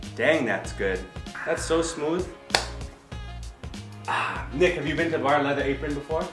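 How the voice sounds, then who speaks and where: Clear music plays in the background as the voice moves at a moderate pace. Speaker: show host. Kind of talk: casual tasting banter. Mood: playful, joking.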